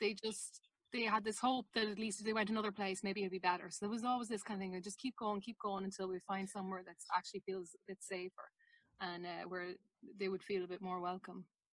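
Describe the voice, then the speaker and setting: Flat and monotone, a woman talks at a medium pitch and a very fast pace. The sound is dry and close, with no echo. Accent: Irish. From Ireland. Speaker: documentary maker. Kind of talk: interview.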